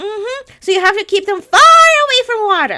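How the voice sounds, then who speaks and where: Squeaky and extremely high-pitched, a woman's put-on character voice carries the speech. Her pace is moderate. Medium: actual play. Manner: polite, measured, formal.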